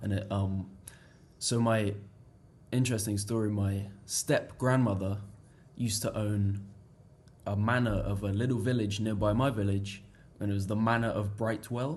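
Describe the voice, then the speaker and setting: A man with a fairly low pitch and a somewhat breathy voice speaks with fairly even intonation and long, frequent pauses, with audible room echo. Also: moderate pace. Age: young. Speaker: international student. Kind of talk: casual interview chat.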